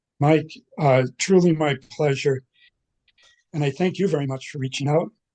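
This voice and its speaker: A man's fairly high voice has a dark, mellow tone and fairly even intonation. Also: moderate pace. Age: 80s+. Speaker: Irish folk musician. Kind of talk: interview. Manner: halting.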